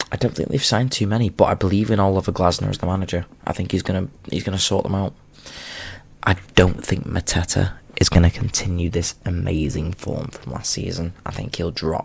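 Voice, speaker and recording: A man talks at a fairly quick pace. His very deep, low pitch shows ordinary variation. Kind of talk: casual talk to camera. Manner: soft-spoken.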